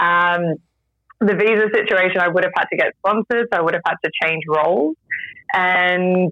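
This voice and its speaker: A moderate pace with lively intonation. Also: woman. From Australia. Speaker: radio professional and expat traveler. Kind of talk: casual interview. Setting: video call from Japan.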